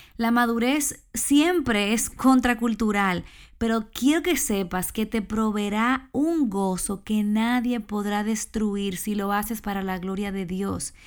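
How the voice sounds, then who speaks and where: A woman speaks very slowly with hardly any pauses at a fairly high pitch and ordinary pitch variation, on a very clean recording with a silent background. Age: 30s. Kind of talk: devotional talk. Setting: small room at home.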